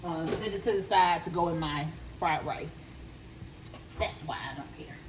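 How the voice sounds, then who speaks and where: Speech in a Southern US accent at a moderate pace, with noticeable background noise and audible room echo. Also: woman. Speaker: home cook. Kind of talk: cooking tutorial. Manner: casual, conversational.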